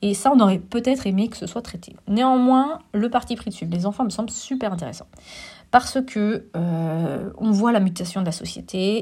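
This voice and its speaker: A woman's medium-pitched, somewhat breathy voice with a dark, mellow tone and ordinary pitch variation, on a very clean recording with a silent background. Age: 40s. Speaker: film critic and teacher. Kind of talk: solo film review podcast. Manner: hesitant, many filler sounds.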